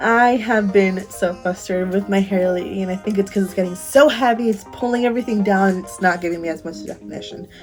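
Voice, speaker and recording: Music plays in the background as a woman talks very fast. Her voice sits at a medium pitch with ordinary pitch variation. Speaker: beauty vlogger. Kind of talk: casual talk to camera.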